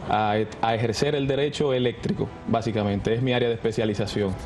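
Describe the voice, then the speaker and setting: Noticeable background noise sits under the talking. The words come at a fairly quick pace. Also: man. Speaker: young political candidate, lawyer. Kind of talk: TV interview.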